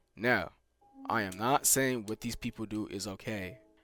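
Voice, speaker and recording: Music plays behind the speaker. A man talks with fairly even intonation. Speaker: YouTuber commentator. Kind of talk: casual commentary over gameplay. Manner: stuttering, filler-heavy.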